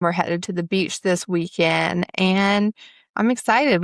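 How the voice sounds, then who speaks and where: A woman with a Southern US accent talks at a moderate pace with ordinary pitch variation, in a very clean, dry, close recording with no echo and a silent background. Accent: Southern US, noticeable. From US South, upstate South Carolina. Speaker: podcast host, spiritual coach. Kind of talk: casual podcast monologue.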